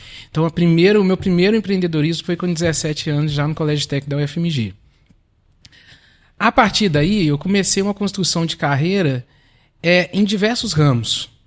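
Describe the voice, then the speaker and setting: A man with a high pitch talks at a fairly quick pace, with ordinary pitch variation and long, frequent pauses, in a very clean recording with a silent background. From Minas Gerais, Belo Horizonte. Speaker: lawyer and real estate business partner. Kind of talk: podcast interview.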